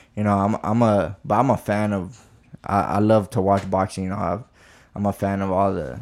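A man with an American accent, fairly low in pitch, at a moderate pace with fairly even intonation, on a very clean recording with a silent background. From Texas (Midland). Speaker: professional boxer. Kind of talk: casual chat. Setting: in-person podcast recording.

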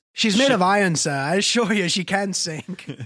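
A put-on character voice in an Irish accent comes through raspy at a middle pitch. It keeps a moderate pace.

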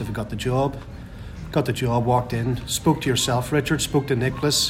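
A man with a Northern Irish accent talks at a fairly quick pace and medium pitch, with fairly even intonation. Noticeable background noise runs under his voice. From Northern Ireland. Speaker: football fan, supporters club member. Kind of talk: casual chat. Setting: pub before a match.

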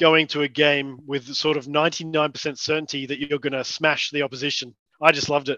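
Over a quiet background, a man with an Australian accent speaks in a fairly high, bright, sharp voice with monotone, flat intonation at a moderate pace. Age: 30s. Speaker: amateur Australian rules footballer. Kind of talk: casual interview.

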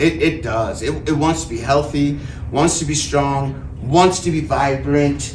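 Noticeable background noise sits behind the speaker. He is a man with a fairly high voice. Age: 40s. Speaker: cancer survivor speaker. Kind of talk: talk to an audience. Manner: casual, with frequent filler words.

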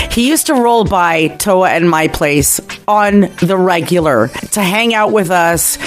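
A woman talks with ordinary pitch variation in a fairly low voice. Music plays in the background. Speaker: radio host. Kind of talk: radio DJ patter. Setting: radio studio. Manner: smooth, upbeat, polished.

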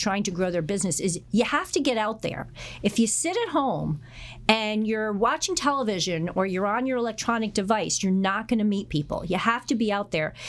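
With a US Northeastern accent, a woman speaks with lively intonation over noticeable background noise. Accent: US Northeast. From Connecticut, US. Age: 50s. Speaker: real estate broker. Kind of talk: interview.

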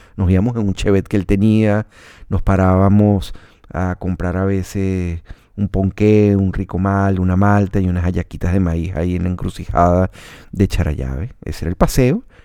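A man with a Venezuelan accent has a very deep, low pitch and a dark, mellow tone. He talks at a moderate pace with fairly even intonation. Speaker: radio announcer and podcaster. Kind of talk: personal storytelling monologue. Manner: relaxed, conversational.

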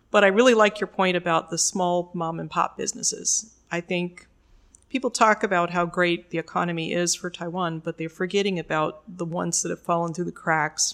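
A woman speaks in a plain, everyday voice. She keeps a fairly quick pace, fairly low pitch and fairly even intonation. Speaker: podcast host. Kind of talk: interview, scripted intro then casual conversation.

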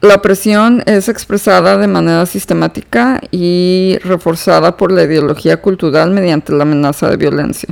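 A woman speaks with hardly any pauses and very even loudness. Her pitch is fairly low. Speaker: psychotherapist, podcast host. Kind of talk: solo educational talk. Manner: slow, unhurried pace; hesitant, many fillers.

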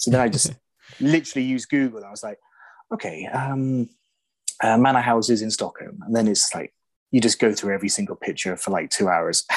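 A man's medium-pitched voice with an English accent, very fast pace, lively intonation, big swings in loudness, long and frequent pauses, and a dry, close sound with no echo. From England. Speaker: silent film location researcher. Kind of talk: casual chat. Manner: halting.

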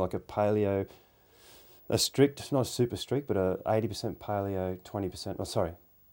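A man with an Australian accent speaks at a moderate pace in a dark, mellow tone, his fairly low pitch holding fairly even intonation on a very clean recording with a silent background. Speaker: podcast interviewer and hunter. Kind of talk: casual chat.

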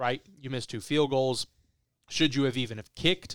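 In an ordinary speaking voice with an American accent, a man talks at a medium pitch with ordinary pitch variation, captured dry and close with no echo on a very clean recording with a silent background. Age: 20s. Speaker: sports podcast host. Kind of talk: casual sports chat.

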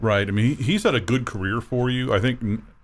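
This man's medium-pitched voice moves at a fairly quick pace. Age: 30s. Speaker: sports radio host. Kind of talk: casual sports talk radio. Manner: hesitant fillers.

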